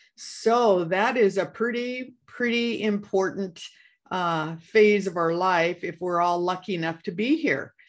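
Here a woman with an American accent uses a plain, everyday voice at a medium pitch, with ordinary pitch variation and a fairly slow pace, against a quiet background. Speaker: podcast co-host. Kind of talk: casual chat.

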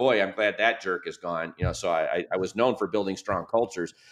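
A man with an American accent talks at a medium pitch and a fairly quick pace. He has an ordinary speaking voice. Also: hardly any pauses. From US Midwest, Michigan. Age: 50s. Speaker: business author and advisor. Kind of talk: podcast interview.

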